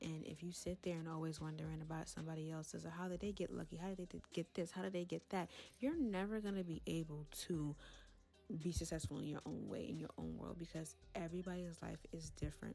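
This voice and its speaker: Music plays behind the woman. Her speech comes at a very fast pace. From Brooklyn, New York. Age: 20s. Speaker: content creator. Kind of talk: casual talk to camera. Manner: candid, chatty.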